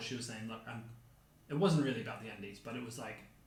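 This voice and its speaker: Amid noticeable background noise and audible room echo, a man with a New Zealand accent speaks at a medium pitch with ordinary pitch variation. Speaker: podcast co-host. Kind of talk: casual chat. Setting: home kitchen, dining table.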